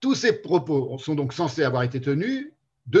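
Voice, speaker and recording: The voice is somewhat breathy, with very wide pitch swings. It moves at a fairly slow pace. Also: man. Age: 50s. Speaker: philosophy seminar lecturer. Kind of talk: lecture. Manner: halting.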